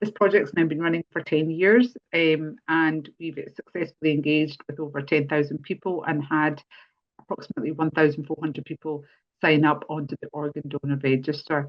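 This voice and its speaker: With a Scottish accent, a woman speaks in a very deep, low pitch and fairly even intonation. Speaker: charity policy lead and webinar host. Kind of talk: webinar introduction. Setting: online webinar. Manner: hesitant, many fillers.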